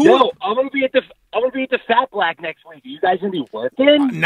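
A strong Long Island accent in a dry sound with no echo, with big swings in loudness. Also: man, extremely high pitch for a man, moderate pace, quiet background. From Long Island, New York. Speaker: teacher, podcast supporter calling in. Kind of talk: casual podcast banter. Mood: joking, playful. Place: studio. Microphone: handheld.

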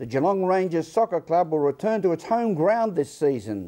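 A man with an Australian accent speaks at a high pitch in a dark, mellow tone. His intonation is lively. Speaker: news presenter. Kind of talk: news presenting; interview. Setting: studio.

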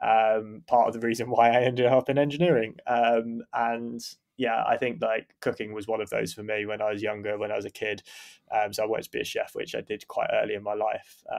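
A man talks fairly quickly in an unremarkable speaking voice, keeping a medium pitch and fairly even intonation. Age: 30s. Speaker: engineering manager. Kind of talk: casual interview.

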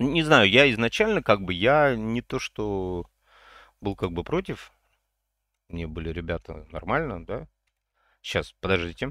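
A man speaks fairly slowly in an animated, bright, sharp tone, his pitch swinging very widely and his speech broken by long, frequent pauses. The sound is dry with no echo, over a quiet background. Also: fairly low pitch for a man. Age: 50s. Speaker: gaming streamer. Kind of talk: gameplay livestream chat.

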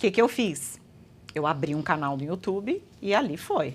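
A woman's ordinary speaking voice at a moderate pace, with lively intonation, on a very clean recording with a silent background. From Brazil, Guarujá (São Paulo state). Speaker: astrologer and holistic therapist. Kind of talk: interview conversation.

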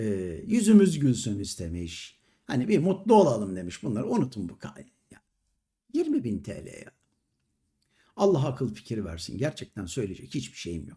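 A man's medium-pitched, dark and mellow voice with vocal fry, very wide pitch swings, big swings in loudness, a moderate pace, and long, frequent pauses. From Istanbul, Turkey. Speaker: YouTube commentator, retired entertainer. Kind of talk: monologue commentary to camera. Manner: indignant.

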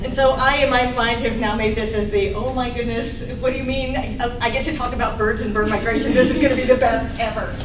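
Fairly quick and with hardly any pauses, a woman speaks in a high voice. Noticeable background noise runs beneath her. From US South. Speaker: ornithology professor. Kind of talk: lecture. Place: hall. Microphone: camera far.

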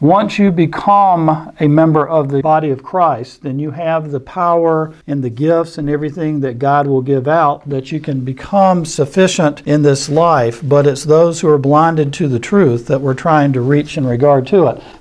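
A man talks at a moderate pace with hardly any pauses. His intonation is fairly even, and the background is quiet. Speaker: Bible class teacher. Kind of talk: lecture. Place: classroom.

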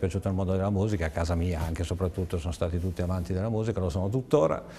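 Over light background noise, a man speaks in a dark, mellow tone. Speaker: radio host, DJ, guest. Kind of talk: interview. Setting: studio. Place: studio. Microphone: lapel.

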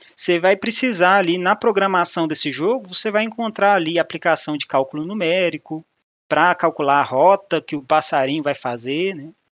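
High pitch from a man, paired with ordinary pitch variation. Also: moderate pace, quiet background, dry sound with no echo. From Minas Gerais, Brazil. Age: 30s. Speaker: mathematician and business analyst, speaker; presenter. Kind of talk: meetup talk. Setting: online meetup presentation with slides. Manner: casual, informal. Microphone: video call.

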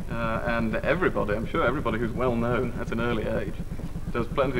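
Noticeable background noise is audible. The man speaks very fast. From northern England. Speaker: politician. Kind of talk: TV talk show interview. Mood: relaxed, smiling. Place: studio.

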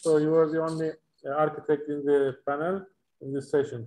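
A man with a Turkish accent talks at a fairly quick pace in a high voice. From Turkey. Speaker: panel moderator, timber industry association chairman; panel moderator. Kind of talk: panel discussion moderation. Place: home room. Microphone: video call.

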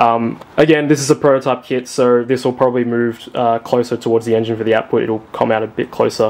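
A man speaks at a fairly quick pace and a medium pitch, his intonation flat and monotone. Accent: Australian. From Australia. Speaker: car parts designer. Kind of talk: tutorial. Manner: halting, with fillers.

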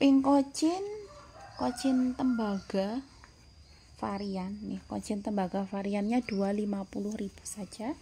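Light background noise sits behind a woman whose somewhat breathy, dark and mellow voice moves at a very slow pace with ordinary pitch variation. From Central Java, Indonesia. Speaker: plant seller. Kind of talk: sales pitch. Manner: upbeat, persuasive, bargain-hawking. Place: garden. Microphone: phone near.

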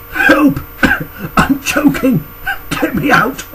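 A man puts on a character voice pitched extremely high. Loud background noise runs under the recording. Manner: panicked, pleading.

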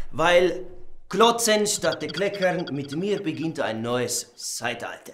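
Over light background noise, a man with a high pitch speaks very slowly in a calm, serious tone with lively intonation. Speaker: comedian. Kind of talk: comedy sketch monologue. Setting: studio, showing clothes to camera with an assistant. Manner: mock-calm, slow and faux-serious, playing up a clumsy pseudo-Spanish persona.

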